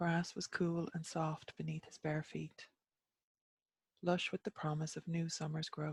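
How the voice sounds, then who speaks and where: In an Irish accent, the voice is flat and monotone, somewhat breathy, with big swings in loudness and a dry, close sound with no echo. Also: woman, fairly low pitch for a woman, fairly slow pace. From Ireland. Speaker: storyteller. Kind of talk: myth storytelling reading.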